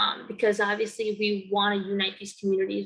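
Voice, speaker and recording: Speaking at a moderate pace in an American accent, the voice has a bright, sharp tone and monotone, flat intonation. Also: woman. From Connecticut, East Haven. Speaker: student and community organizer. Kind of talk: interview testimony. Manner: hesitant with frequent fillers.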